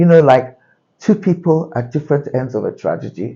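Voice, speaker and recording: The man's voice has a somewhat breathy quality. He keeps to a moderate pace. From UK. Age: 60s. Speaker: journalist and YouTuber. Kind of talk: personal vlog monologue. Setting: outdoors on a balcony.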